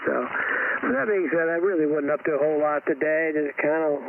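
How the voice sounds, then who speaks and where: A man talks while noticeable noise carries on behind him. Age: 60s. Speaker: amateur radio operator. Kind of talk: radio net check-in. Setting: ham radio transmission.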